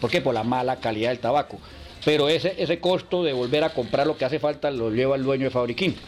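Against noticeable background noise, a man speaks at a very fast pace with very even loudness. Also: medium pitch for a man, ordinary pitch variation. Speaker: cigar workers' association leader. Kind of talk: interview.

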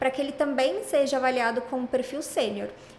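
This woman has a high-pitched voice and fairly even intonation. She speaks at a moderate pace. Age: 20s. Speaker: tech recruiter, psychologist. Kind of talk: casual interview.

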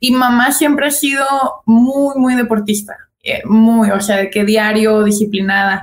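A woman speaks at a fairly high pitch, somewhat breathy, with fairly even intonation. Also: fairly slow pace. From Guadalajara, Mexico. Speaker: basketball player. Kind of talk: casual interview.

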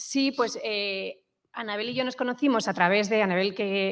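Against a quiet background, a woman speaks at a moderate pace in a fairly high voice with ordinary pitch variation. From Madrid, Spain. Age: 40s. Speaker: startup co-founder. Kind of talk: interview. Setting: studio with small live audience. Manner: halting.

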